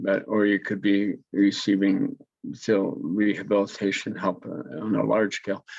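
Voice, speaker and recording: Using vocal fry, a man with a fairly low pitch speaks at a fairly slow pace with fairly even intonation. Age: 70s. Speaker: war veteran and senior athlete. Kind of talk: interview. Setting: video call. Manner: halting, many fillers and restarts.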